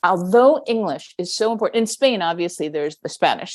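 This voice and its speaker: With an American accent, a woman speaks in a normal speaking voice at medium pitch. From New York. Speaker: podcast host, educator. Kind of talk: interview.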